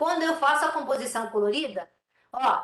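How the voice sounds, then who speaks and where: A woman's voice with ordinary pitch variation. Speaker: remote sensing lecturer. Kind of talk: lecture. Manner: fast.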